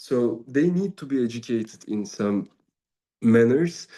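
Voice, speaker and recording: Against a quiet background, a man with a Turkish accent speaks in a medium pitch with a dark, mellow tone and ordinary pitch variation. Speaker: Sufi teacher and musician. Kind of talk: spiritual talk. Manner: halting.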